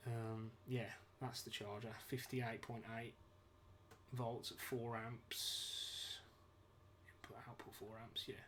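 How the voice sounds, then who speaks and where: Very slow speech in a British accent, broken by long, frequent pauses. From UK. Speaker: DIY ebike builder streaming a build. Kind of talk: live stream tutorial. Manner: casual, hesitant with many fillers.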